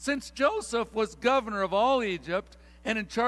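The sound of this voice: The clip has an unforced reading voice. Its pitch variation is ordinary.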